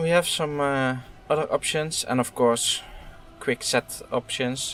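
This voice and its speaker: With music in the background, a man with a non-native accent speaks at a fairly high pitch and a fairly slow pace, his intonation fairly even. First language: not English. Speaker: gaming YouTuber. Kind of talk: game demo playthrough commentary. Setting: home recording with headset. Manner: hesitant, many fillers.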